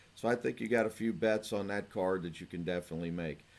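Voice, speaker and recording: A man with an American accent speaks in a plain, everyday voice. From Cincinnati, Ohio. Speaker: horse racing handicapper. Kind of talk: betting picks video. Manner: casual, conversational.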